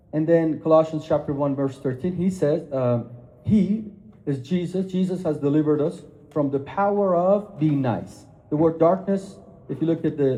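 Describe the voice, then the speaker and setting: A man's fairly high, dark and mellow voice with ordinary pitch variation, a moderate pace and audible room echo. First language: not English (English is third language). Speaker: speaker on Islam and Christianity. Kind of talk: lecture.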